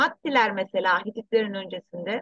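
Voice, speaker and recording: The sound is close and dry, without any echo. It carries a woman's voice. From abroad, returned to Turkey in 1984. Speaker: researcher and author. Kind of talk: interview.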